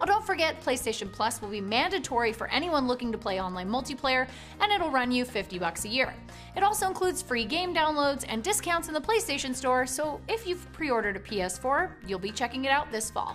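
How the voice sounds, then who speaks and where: At a fairly quick pace and a high pitch, a woman speaks over faint music in the background. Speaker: news show host. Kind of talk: news bulletin presenting. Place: office.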